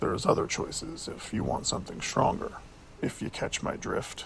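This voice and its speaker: A man puts on a raspy character voice at a moderate pace. Clear background noise runs underneath. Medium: read story. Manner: laid-back, casual.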